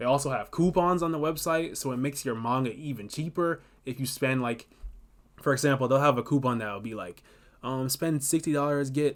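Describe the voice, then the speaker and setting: A man at a fairly quick pace, fairly high in pitch, with ordinary pitch variation. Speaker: manga content creator. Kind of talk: tutorial. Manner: fast; animated.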